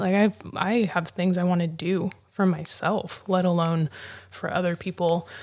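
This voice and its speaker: In an American accent, a woman with a plain, everyday voice speaks at medium pitch and a moderate pace with fairly even intonation. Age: 30s. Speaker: podcast host. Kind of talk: casual interview. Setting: live audio chat room.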